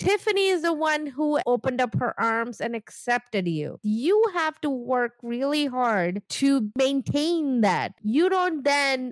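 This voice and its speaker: A woman with a non-native accent and a high pitch makes very wide pitch swings at a fairly slow pace with hardly any pauses, recorded very cleanly with a silent background and a dry, close sound with no echo. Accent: foreign-accented English. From immigrant, grew up outside English-speaking world. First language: not English. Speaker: podcast co-host. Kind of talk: casual chat recapping reality TV.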